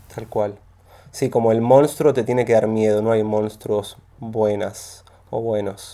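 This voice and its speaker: Speech in a Rioplatense accent unfolds at a fairly slow pace with fairly even intonation. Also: man, medium pitch for a man. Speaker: podcast host. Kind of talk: casual interview chat.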